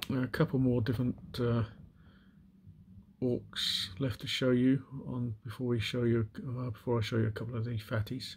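A man talks at a moderate pace in a medium pitch. His voice is somewhat breathy, with monotone, flat intonation. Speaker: miniature painting hobbyist. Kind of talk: casual show-and-tell video. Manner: hesitant with many fillers.

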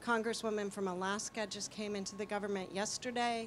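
Over light background noise, a woman with an American accent speaks at medium pitch in a monotone, flat intonation. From US, New Mexico. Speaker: entrepreneur; audience member giving a comment. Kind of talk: panel discussion. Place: hall.

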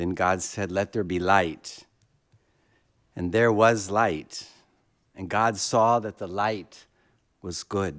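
Over a quiet background, a man with an American accent talks very slowly with long, frequent pauses. His pitch is fairly low and his intonation fairly even. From Texas. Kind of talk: lecture. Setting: stage with audience, live-streamed. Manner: halting, repeats words. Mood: reverent, earnest. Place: hall. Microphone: podium.

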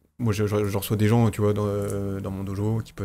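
A man with a fairly low pitch and a dark, mellow tone speaks at a fairly quick pace in a monotone, flat intonation, with light background noise. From France. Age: 40s. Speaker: aikido teacher. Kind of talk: casual chat. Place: studio. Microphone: studio mic.

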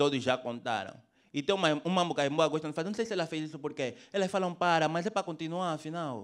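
The speaker talks at a very fast pace with ordinary pitch variation. The background is quiet. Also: man. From Angola. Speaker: stand-up comedian. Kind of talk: raunchy stand-up comedy set in Luanda street slang. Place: stage.

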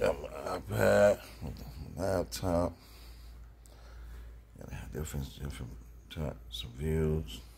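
The speaker is a man. Vocal fry runs through his voice. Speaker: trucker vlogger who trades. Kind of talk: casual vlog chat. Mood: boastful, lecturing, a bit irritated. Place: home room. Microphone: headset.

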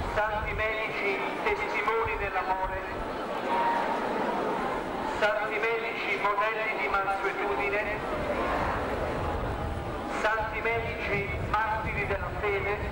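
A man speaks at a very slow pace, leaving long, frequent pauses. Loud background noise and audible room echo surround his voice. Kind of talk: litany prayer. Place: street.

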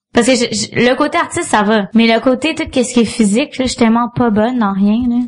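Very fast speech in a Quebec accent, with hardly any pauses and ordinary pitch variation. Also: woman, high pitch for a woman. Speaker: comedian. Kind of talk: casual chat.

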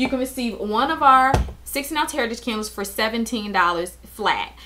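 A woman's voice, bright and sharp in tone, sits at a fairly high pitch with ordinary pitch variation. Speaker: independent candle sales consultant. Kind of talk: sales pitch, promo video message. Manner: chatty, friendly pitchman tone; mildly halting, with frequent 'um' fillers. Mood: friendly, upbeat. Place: home room. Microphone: webcam.

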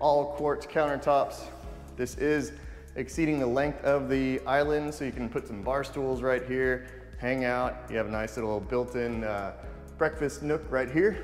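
Over faint background music, a man speaks at a fairly slow pace. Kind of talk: home tour commentary. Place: home room.

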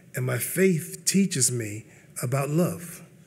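In a somewhat breathy voice, a man speaks with an American accent. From US Northeast. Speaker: pastor. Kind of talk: sermon-style panel talk. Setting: stage with audience. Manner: animated. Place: hall. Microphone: podium.

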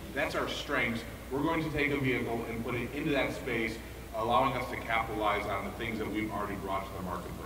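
Noticeable background noise sits under very fast speech with ordinary pitch variation. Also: man. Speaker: automotive product planner. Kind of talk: product presentation. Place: hall. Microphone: camera far.

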